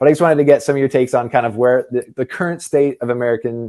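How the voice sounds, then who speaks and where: A man with a slight Canadian accent talks at a very fast pace and a fairly high pitch. His tone is dark and mellow, the intonation fairly even, and the sound dry and close with no echo. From Canada. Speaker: tennis YouTuber. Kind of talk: casual debate. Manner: casual, hesitant with fillers.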